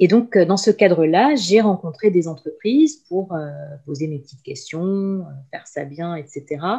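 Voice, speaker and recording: A woman speaks at a fairly slow pace with a fairly low pitch and a dark, mellow tone. Her intonation is lively, and her loudness swings widely. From France and Lebanon. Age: 40s. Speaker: career coach and HR consultant. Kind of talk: interview.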